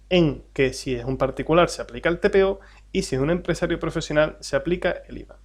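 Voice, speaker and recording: Over a silent background in a very clean recording, a man with an Andalusian accent talks at a fairly quick pace with big swings in loudness. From Andalusia, Spain. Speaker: tax adviser and exam-prep teacher. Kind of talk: lecture. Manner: hesitant, many fillers.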